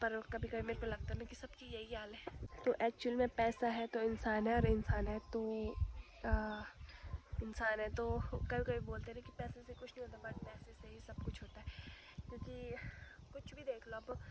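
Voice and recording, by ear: A woman with a slightly mellow tone speaks at a moderate pace in a fairly high pitch with little pitch movement.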